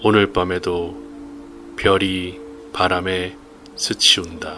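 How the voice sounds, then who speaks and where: Music plays behind a man with a very deep, low voice. He speaks very slowly with ordinary pitch variation. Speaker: reader / narrator. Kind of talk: poetry reading.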